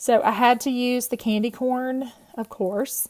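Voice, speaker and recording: A woman speaks with a Southern US accent. The sound is dry and close, with no echo. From US South. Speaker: card-making crafter. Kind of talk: tutorial. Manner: casual, chatty.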